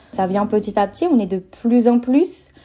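A woman speaks here. Her voice is somewhat breathy. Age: 20s. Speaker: doula and naturopath. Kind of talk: interview.

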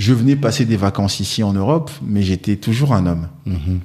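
An ordinary speaking voice from a man, fairly low in pitch, at a moderate pace with lively intonation. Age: 40s. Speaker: wealth management advisor. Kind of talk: interview.

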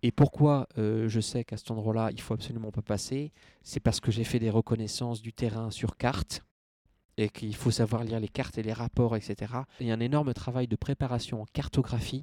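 In a dry, close sound with no echo, a man with a dark, mellow tone speaks at a moderate pace and medium pitch with fairly even intonation. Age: 20s. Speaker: accountant and endurance adventurer. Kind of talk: interview testimony.

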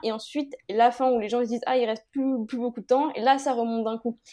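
A woman's high-pitched voice with a dark, mellow tone at a very fast pace, on a very clean recording with a silent background. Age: 20s. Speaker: fashion brand founder. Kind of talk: interview.

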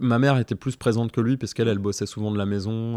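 A man speaking very fast with ordinary pitch variation, in a dry, close sound with no echo and a very clean recording with a silent background. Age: 40s. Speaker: father and artist. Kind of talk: casual chat. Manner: halting, many fillers and repetitions.

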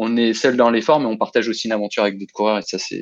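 Against a quiet background, a man is talking. His pitch is medium. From Lyon region, France. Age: 30s. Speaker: amateur trail runner. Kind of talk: interview, personal race story. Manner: hesitant, many fillers and repetitions.

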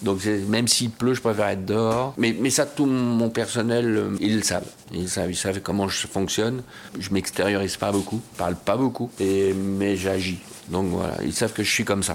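Against noticeable background noise, a man with fairly low pitch talks at a moderate pace with fairly even intonation. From France, Bois-le-Roi. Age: 50s. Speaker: show jumping rider and trainer. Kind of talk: interview. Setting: equestrian club clubhouse. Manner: halting, many hesitations.

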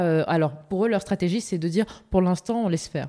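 A woman speaks at medium pitch with a dark, mellow tone. Her intonation is lively, and the recording is very clean with a silent background. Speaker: podcast host. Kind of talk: scripted intro; interview.

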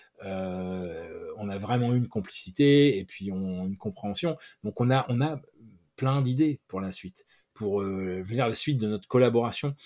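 On a very clean recording with a silent background, a man talks at a fairly slow pace in a dark, mellow tone, his fairly low pitch moving with ordinary variation. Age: 50s. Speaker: comic book writer. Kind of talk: interview. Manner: halting.

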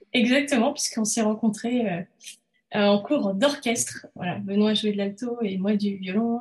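Somewhat breathy and fairly high in pitch, a woman talks at a fairly slow pace with ordinary pitch variation. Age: 30s. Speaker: illustrator and entrepreneur. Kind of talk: interview conversation. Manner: hesitant, many fillers.

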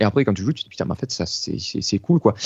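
A man talks at a medium pitch with vocal fry. His pitch swings very widely. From Marseille area, southern France. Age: 30s. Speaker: guitarist. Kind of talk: casual interview.

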